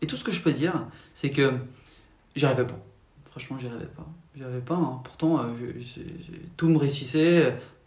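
A somewhat breathy voice at a moderate pace, with fairly even intonation, long, frequent pauses, big swings in loudness and audible room echo. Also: man, fairly high pitch for a man. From France, Paris region. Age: 20s. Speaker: faith testimony guest. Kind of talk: testimony. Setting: at home.

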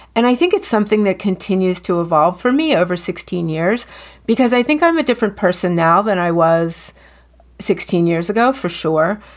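A woman with a plain, everyday voice speaks at a fairly quick pace and medium pitch, her intonation lively and her loudness very even. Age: 50s. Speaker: color consultant and podcast co-host. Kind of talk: casual chat.

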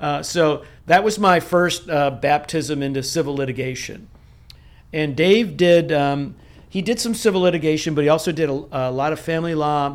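A man has an ordinary speaking voice with a fairly high pitch. He keeps a moderate pace and ordinary pitch variation. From upstate New York (Rochester). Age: 60s. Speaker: franchise attorney. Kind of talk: interview conversation.

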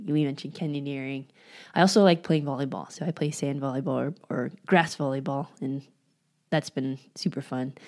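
Speaking at a moderate pace with ordinary pitch variation, a woman with an American accent has a very deep, low voice. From California, San Francisco Bay Area. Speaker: physical therapist, podcast co-host. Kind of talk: casual interview chat.

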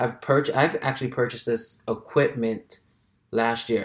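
The voice belongs to a man. It has a medium pitch. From Brooklyn, New York (Flatbush). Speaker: podcast host, author and motivational speaker. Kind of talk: solo casual monologue. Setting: alone in a room.

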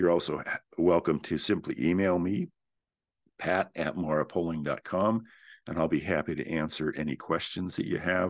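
A man speaks with a very deep, low voice at a moderate pace. His intonation stays fairly even over a quiet background. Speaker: real estate investment company founder, podcast host. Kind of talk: solo educational talk.

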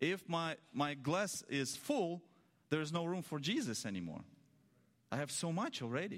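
With a Russian accent, the speaker uses lively intonation broken by long, frequent pauses. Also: man, fairly high pitch for a man. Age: 30s. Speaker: preacher. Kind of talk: sermon. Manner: slow; halting.

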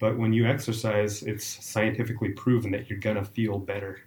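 A man talks at a moderate pace in a fairly low, somewhat breathy voice with monotone, flat intonation. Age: 40s. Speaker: trail runner. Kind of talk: casual interview.

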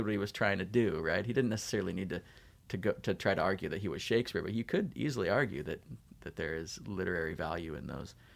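With a Californian accent, this voice moves at a very fast pace. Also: man, very clean recording, silent background. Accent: General American (Californian). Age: 40s. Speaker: English professor. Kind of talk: casual interview.

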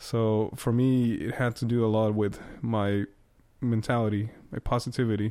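In a Spanish accent, a man speaks at medium pitch with monotone, flat intonation. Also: moderate pace. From Costa Rica. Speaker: trumpet player. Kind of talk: casual chat.

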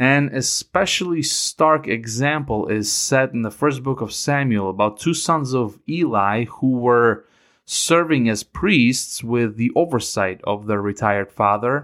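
Lively intonation colors this man's speech at a fairly slow pace. He speaks with a Ukrainian accent. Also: medium pitch for a man, very clean recording, silent background. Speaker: Bible teacher podcaster. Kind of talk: scripted Bible teaching. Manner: measured, formal.

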